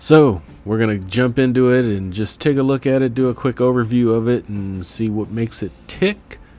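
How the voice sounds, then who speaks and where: A man with a normal speaking voice, medium pitch, ordinary pitch variation, a moderate pace, and hardly any pauses. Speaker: finance YouTuber. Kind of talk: video review. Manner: casual with fillers.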